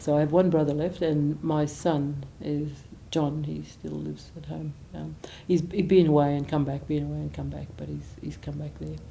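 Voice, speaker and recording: A woman is speaking. Room echo can be heard. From Australia, Gold Coast, Queensland. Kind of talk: biographical interview. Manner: halting, many fillers.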